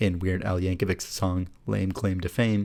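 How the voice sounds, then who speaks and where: Fairly low in pitch and dark and mellow in tone, a man talks at a fairly quick pace. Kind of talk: soothing Wikipedia article reading for bedtime. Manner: soft, soothing.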